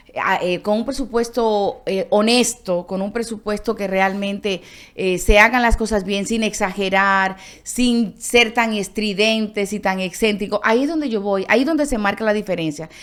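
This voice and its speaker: In a very clean recording with a silent background, a woman speaks with a Dominican accent and ordinary pitch variation. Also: moderate pace. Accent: Dominican accent noticeable in Colombia. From Dominican Republic. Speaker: foreign correspondent journalist. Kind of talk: interview conversation.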